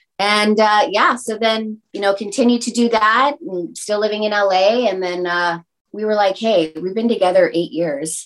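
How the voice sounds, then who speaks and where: Speaking at a moderate pace with lively intonation, a woman uses a normal speaking voice at a medium pitch. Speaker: entertainer, DJ and actress. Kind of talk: casual interview chat.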